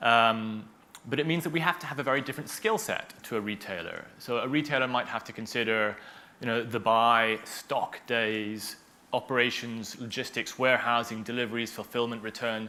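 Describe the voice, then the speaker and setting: This is a man with an American accent, medium pitch, ordinary pitch variation and a moderate pace, an unremarkable speaking voice. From United States. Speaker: tech company founder. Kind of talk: panel interview.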